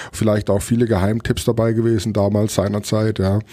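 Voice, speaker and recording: His delivery is fairly quick, in a monotone, flat intonation. The man's voice is fairly low in pitch, with a dark, mellow tone. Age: 40s. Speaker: chef and restaurateur. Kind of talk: casual interview.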